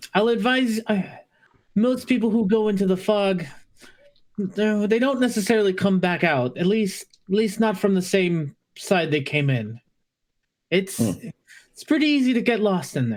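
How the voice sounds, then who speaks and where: A woman puts on a squeaky character voice at a medium pitch. She keeps a moderate pace broken by long, frequent pauses. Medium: actual play.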